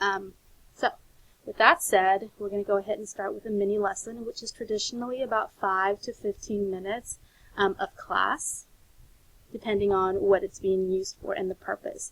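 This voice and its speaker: With an unremarkable speaking voice, a woman talks at a moderate pace, her medium pitch held in fairly even intonation. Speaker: teacher trainer. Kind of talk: recorded lecture presentation.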